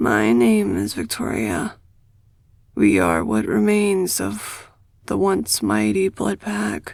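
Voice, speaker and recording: A man's put-on character voice, raspy and fairly low, at a very slow pace. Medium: read story. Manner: wary, defiant.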